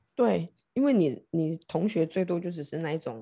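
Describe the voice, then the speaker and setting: A woman's very deep, low voice has vocal fry, a dark, mellow tone and lively intonation. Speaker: tarot reader turned love board game coach. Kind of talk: casual chat.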